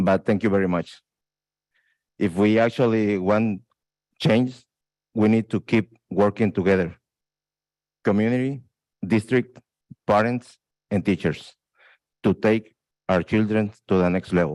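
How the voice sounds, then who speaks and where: A man speaks with a Spanish accent at a fairly low pitch. The sound is dry and close with no echo, his loudness stays very even, and he leaves long, frequent pauses. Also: fairly even intonation, fairly slow pace. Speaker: parent leader. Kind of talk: acceptance speech. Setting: board meeting. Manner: halting.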